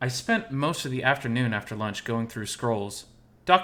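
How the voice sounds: The voice is a natural reading voice. Its pitch moves in ordinary ways.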